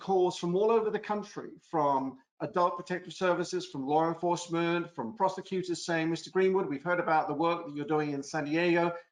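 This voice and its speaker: A man's high-pitched voice in an American accent, fairly quick, with hardly any pauses and ordinary pitch variation. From England. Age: 60s. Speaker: former prosecutor, lecturer. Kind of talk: webinar presentation. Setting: online webinar.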